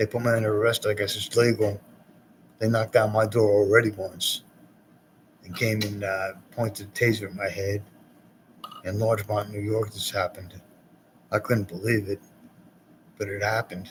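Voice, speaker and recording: Somewhat breathy and fairly low in pitch, a man speaks in a monotone, flat intonation broken by long, frequent pauses. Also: moderate pace. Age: 60s. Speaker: poet hosting cable access show. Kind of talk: rambling monologue. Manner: halting.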